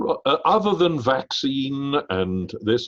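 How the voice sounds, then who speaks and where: With a British accent, a man talks with lively intonation in a dry, close sound that has no echo. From Britain. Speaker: business school executive and interviewer. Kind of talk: interview conversation. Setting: video call.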